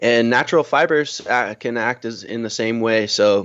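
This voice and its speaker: The speaker has an American accent and a plain, everyday voice. Pitch variation is ordinary. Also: man. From US Northeast, Connecticut. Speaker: business owner. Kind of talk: interview.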